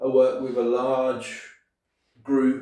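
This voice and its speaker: A man with a Brummie accent, dark and mellow in tone, at a fairly slow pace amid audible room echo. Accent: Birmingham (Brummie). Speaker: property investor and deal sourcer. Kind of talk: casual tutorial to camera. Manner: casual, hesitant with many fillers.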